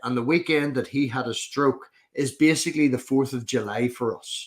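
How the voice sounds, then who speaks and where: Moderate pace from a man with a Northern Irish accent, fairly high pitch, and ordinary pitch variation. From Northern Ireland. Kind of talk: casual chat. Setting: live stream.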